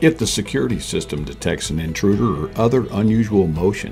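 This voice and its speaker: Music plays in the background as the speaker talks at a moderate pace with lively intonation. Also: man. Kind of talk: corporate promotional narration.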